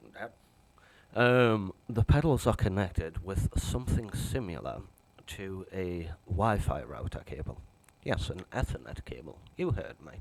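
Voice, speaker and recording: A man with a northern English accent speaks at a fairly slow pace in a fairly low voice with vocal fry. His pitch swings very widely. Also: big swings in loudness. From northern England. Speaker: piano reviewer. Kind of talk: product review. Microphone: cheap mono microphone, must speak close.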